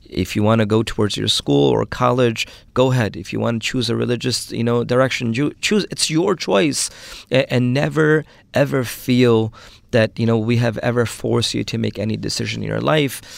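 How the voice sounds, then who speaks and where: The recording is very clean, with a silent background. A man with an American accent talks at a fairly quick pace. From Brooklyn, New York. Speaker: Islamic scholar. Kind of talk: interview. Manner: hesitant, many fillers.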